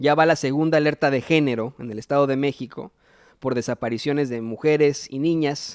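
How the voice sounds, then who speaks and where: A man with an unremarkable speaking voice talks at a fairly quick pace and fairly high pitch. His intonation is fairly even, and the sound is dry and close with no echo. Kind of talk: political news commentary. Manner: casual, opinionated.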